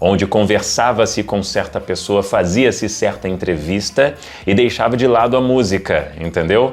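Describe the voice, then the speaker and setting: A man talks with lively intonation at a moderate pace while noticeable background noise plays behind him. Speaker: radio announcer and broadcasting coach. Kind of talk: casual talk to camera, educational commentary for radio presenters.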